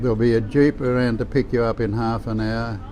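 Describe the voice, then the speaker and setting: With an Australian accent, a man speaks at a medium pitch against noticeable background noise. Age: 80s+. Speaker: war veteran. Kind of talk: testimony. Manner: halting.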